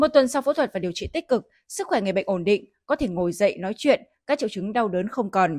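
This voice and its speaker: A woman talks at a very fast pace with very wide pitch swings. The recording is very clean with a silent background and a dry, close sound with no echo. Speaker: news anchor. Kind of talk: news reading. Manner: formal.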